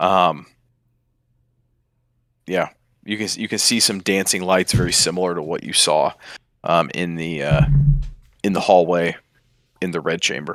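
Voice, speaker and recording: Over a silent background in a very clean recording, a man puts on a raspy character voice at a very deep, low pitch, moving at a moderate pace. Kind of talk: tabletop game master narration. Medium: actual play. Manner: hesitant, filler-heavy.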